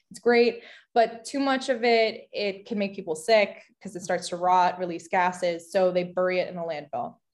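A woman with a New Jersey accent speaks with ordinary pitch variation over a quiet background. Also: medium pitch for a woman, moderate pace. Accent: American, New Jersey. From US Northeast, New Jersey. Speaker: architecture student and material designer. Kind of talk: interview.

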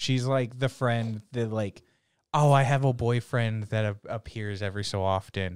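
A man with an unremarkable speaking voice talks at a medium pitch and a moderate pace. His intonation is fairly even, on a very clean recording with a silent background. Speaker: anime podcast co-host. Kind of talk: casual chat.

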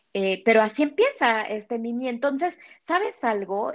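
This woman speaks at a high pitch with lively intonation. Her pace is fairly slow. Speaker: former nun. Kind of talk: casual chat. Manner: halting.

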